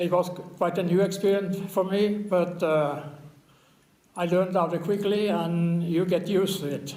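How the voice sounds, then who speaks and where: A man speaks fairly slowly in a high, monotone voice with flat intonation, and room echo is audible. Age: 80s+. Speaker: war veteran. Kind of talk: interview testimony. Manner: halting, with fillers.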